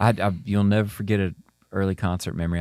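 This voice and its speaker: Very fast and fairly low in pitch, a man speaks with fairly even intonation. The recording is very clean, dry and close, with a silent background and no echo. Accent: Southern US. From Mississippi. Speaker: podcast host, musician. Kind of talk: interview conversation. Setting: podcast interview.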